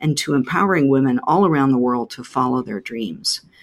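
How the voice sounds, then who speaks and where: A woman talks at a moderate pace in a very deep, low voice. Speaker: podcast host and business mentor. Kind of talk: interview, podcast host.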